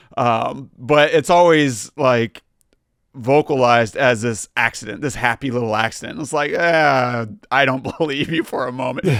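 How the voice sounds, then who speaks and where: Over a dry, close sound with no echo, a man with an American accent and medium pitch speaks at a moderate pace with ordinary pitch variation. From US South. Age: adult. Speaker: film podcast co-host, actor. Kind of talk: casual chat.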